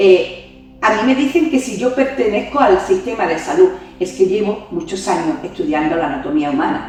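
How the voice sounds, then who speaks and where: With music in the background and audible room echo, a woman at a medium pitch swings her pitch very widely. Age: 60s. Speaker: yoga teacher and reiki master. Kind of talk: interview conversation.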